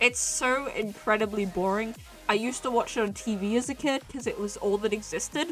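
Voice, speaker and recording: Fairly quick, fairly high female voice with ordinary pitch variation and music in the background. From Australia. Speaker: streamer. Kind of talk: casual chat. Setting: livestream in own room.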